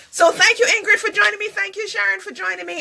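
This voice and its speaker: A woman's raised, projected voice. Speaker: live-stream talk show host. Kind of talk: casual live-stream chat. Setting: live broadcast on social media. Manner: fast.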